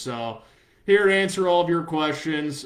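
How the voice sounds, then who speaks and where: Talking at a fairly quick pace, a man has an unremarkable speaking voice and fairly even intonation. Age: 30s. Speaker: sports journalist. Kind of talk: live stream Q&A. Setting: Facebook live video stream. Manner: casual, with many fillers and repeats.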